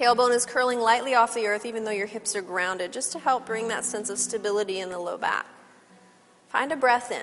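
In a normal speaking voice, a woman's pitch runs fairly high with ordinary variation. She keeps to a fairly quick pace. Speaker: yoga instructor. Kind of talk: guided yoga class cueing breath-linked poses. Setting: studio class with participants. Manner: playful aside with laughter amid steady cues; calm, measured instructional pacing tied to breath.

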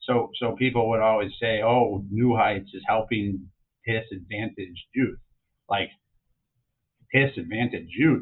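A man with an American accent. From Chicago, then Southern California. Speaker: real estate developer and founder. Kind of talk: casual interview conversation. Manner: halting, repeats words.

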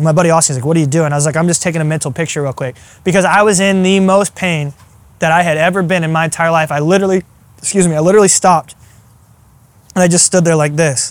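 Speaking at a very fast pace, a man uses a high pitch and fairly even intonation. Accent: American. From Iowa and Arkansas, US Midwest/South. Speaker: ultrarunner and strength coach. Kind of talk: casual interview. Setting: in person.

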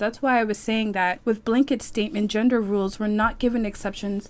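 Speaking at a fairly quick pace with a Canadian accent, a woman uses a normal speaking voice with a fairly high pitch and fairly even intonation. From Toronto, Canada. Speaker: French language teacher. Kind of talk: interview.

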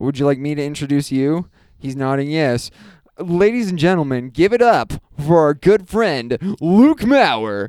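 A man with a normal speaking voice talks at a fairly slow pace and fairly high pitch, with lively intonation. The sound is dry and close with no echo. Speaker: podcast host. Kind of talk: casual chat.

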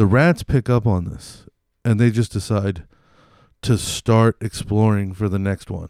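Recorded very cleanly against a silent background, a man speaks in an animated tone at a fairly slow pace and fairly low pitch, with ordinary pitch variation. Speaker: podcast host. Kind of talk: casual comedic podcast banter with ad reads. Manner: rambling, profane, animated.

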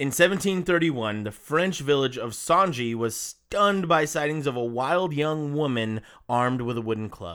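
An animated man with an American accent, fairly high pitch and lively intonation, at a moderate pace with hardly any pauses, on a very clean recording with a silent background. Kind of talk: casual chat, storytelling.

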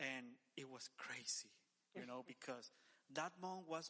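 A man with a Spanish accent speaks in a bright, sharp tone. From El Salvador. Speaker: church men's director. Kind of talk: casual interview.

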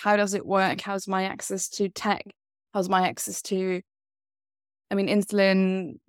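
On a very clean recording with a silent background, a woman has an ordinary speaking voice at a medium pitch and a moderate pace. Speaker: diabetes advocate. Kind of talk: casual chat.

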